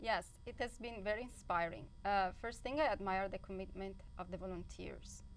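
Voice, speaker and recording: There is vocal fry in this woman's medium-pitched voice. She talks at a moderate pace with ordinary pitch variation. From Italy. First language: Italian. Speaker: high school teacher. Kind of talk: TV interview. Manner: halting.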